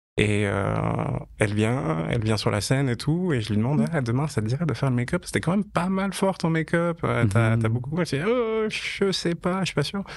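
At a fairly quick pace, a man with a fairly high pitch speaks with very wide pitch swings. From French-speaking Switzerland, canton of Vaud. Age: 30s. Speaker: fashion photographer. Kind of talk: interview conversation.

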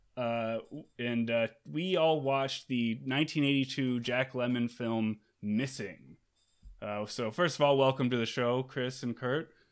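With an American accent, a man talks at medium pitch in a plain, everyday voice with ordinary pitch variation. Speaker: podcast host. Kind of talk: casual chat. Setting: studio.

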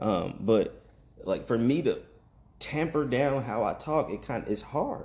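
A man speaks at a fairly slow pace in a fairly high pitch, somewhat breathy, with ordinary pitch variation. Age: 30s. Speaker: podcaster and father. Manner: softens voice and whispers when talking to his son.

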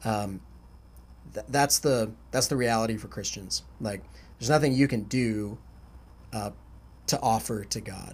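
At a fairly slow pace with long, frequent pauses, a man speaks at medium pitch with ordinary pitch variation. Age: 30s. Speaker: podcast host, university staff. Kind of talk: casual chat.

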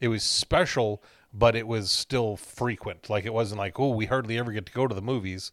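Here is a man with an American accent and a medium pitch. He talks at a fairly quick pace with fairly even intonation, in a very clean recording with a silent background. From Wisconsin. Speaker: podcast co-host. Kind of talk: casual chat. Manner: halting, many repetitions.

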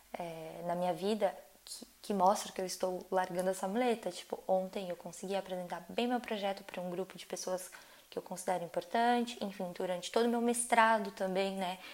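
A woman's normal speaking voice at a medium pitch, fairly quick in pace, with fairly even intonation and big swings in loudness. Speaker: podcast host, artist. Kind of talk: reflective solo monologue. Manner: conversational, many fillers.

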